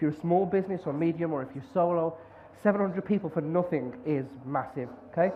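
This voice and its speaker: The speech moves at a fairly quick pace in a strong Brummie accent with ordinary pitch variation. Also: man. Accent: Birmingham (Brummie) accent, strong. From English Midlands, near Birmingham. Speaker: conference speaker, marketer and podcaster. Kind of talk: conference talk. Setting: stage with audience. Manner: energetic.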